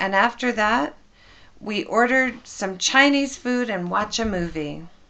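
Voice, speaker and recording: A woman's put-on character voice, raspy and warm in tone, fairly high in pitch, with lively intonation at a fairly slow pace over a quiet background. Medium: read story. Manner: warm, affectionate.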